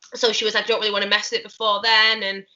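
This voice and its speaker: Speaking very fast with a Mancunian accent, a woman keeps her intonation monotone and flat. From northern England, Manchester. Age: 20s. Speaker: musical theatre actress. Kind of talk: casual interview chat. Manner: chatty, many fillers like um and like.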